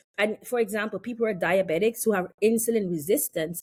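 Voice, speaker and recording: A woman with a fairly high pitch speaks in an animated tone. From West Indies. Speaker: health and wellness practitioner. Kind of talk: casual chat.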